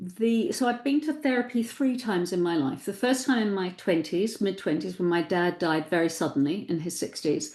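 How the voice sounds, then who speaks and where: Barely pausing, a woman speaks with very wide swings in pitch. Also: medium pitch for a woman, moderate pace, quiet background. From New Zealand. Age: 60s. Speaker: psychotherapist and writer. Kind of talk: casual interview.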